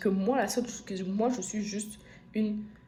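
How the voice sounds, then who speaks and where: A woman at medium pitch, moderate pace and fairly even intonation, with audible room echo and music in the background. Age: 20s. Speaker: vlogger sharing her personal story. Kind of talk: personal testimony. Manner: emotional, repetitive.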